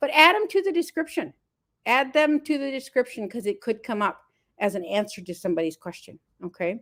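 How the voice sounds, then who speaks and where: A woman with an American accent speaks at a fairly quick pace. Her pitch is high, with very wide swings. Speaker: marketing coach. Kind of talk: live stream talk. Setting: live stream from another house. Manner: animated.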